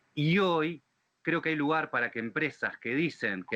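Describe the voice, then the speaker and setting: With a bright, sharp tone, a man speaks at a moderate pace, the sound dry and close with no echo. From Argentina. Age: 40s. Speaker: fintech company executive. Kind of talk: webinar panel talk. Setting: livestreamed webinar.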